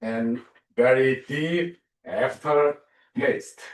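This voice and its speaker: This is a man speaking. He has a Korean accent. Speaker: theology professor and minister. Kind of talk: lecture. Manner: halting, many fillers.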